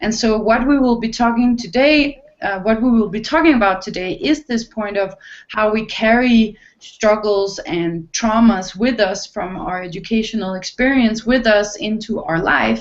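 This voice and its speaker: A woman speaks with a non-native accent at a moderate pace. Her pitch is fairly high, with ordinary pitch variation. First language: not English. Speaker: online talk show host. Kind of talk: hosted panel discussion. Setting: video call. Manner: halting.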